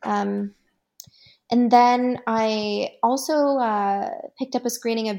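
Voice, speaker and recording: A woman with a Canadian accent has a dark, mellow tone and a fairly high pitch, captured in a very clean recording with a silent background. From Canada. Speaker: film festival guest reviewer. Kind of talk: casual chat. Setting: studio. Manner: animated.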